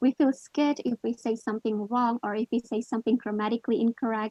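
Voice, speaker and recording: A woman with a non-native accent, fairly high pitch, ordinary pitch variation and a very fast pace. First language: not English. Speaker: guest presenter, English learner. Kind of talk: online workshop presentation.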